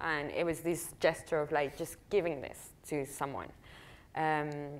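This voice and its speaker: At a moderate pace, a woman with a Spanish accent speaks in a very deep, low pitch on a very clean recording with a silent background. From Argentina, Patagonia. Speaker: visual artist. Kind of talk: public conversation.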